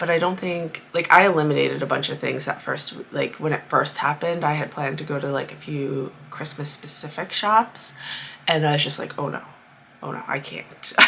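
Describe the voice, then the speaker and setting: A woman with a Rhode Island accent, a very deep, low pitch, ordinary pitch variation and a moderate pace. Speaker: crafter vlogger. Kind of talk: casual vlog monologue. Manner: chatty, with many fillers.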